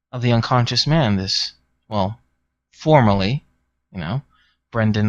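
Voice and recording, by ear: With a quiet background, a passage is read aloud in a natural voice.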